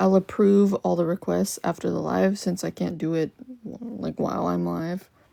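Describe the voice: This woman's voice has vocal fry, fairly even intonation and a slightly mellow tone.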